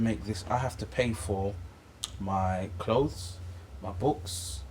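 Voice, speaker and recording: This man speaks with a London accent, his fairly low voice marked by vocal fry. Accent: London English, multicultural London. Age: 20s. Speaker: Islamic teacher. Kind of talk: casual chat. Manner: halting, repetitive.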